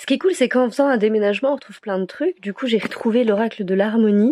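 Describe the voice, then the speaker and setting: Very fast, a woman talks at medium pitch with ordinary pitch variation. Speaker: tarot card reader. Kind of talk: weekly card guidance vlog. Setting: at home, moving house. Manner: hesitant, many fillers.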